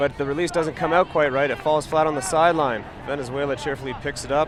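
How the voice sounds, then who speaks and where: Against noticeable background noise, a man with an Ottawa Valley accent talks very fast at a fairly high pitch, his intonation fairly even. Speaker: sports commentator. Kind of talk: live commentary. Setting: live webcast.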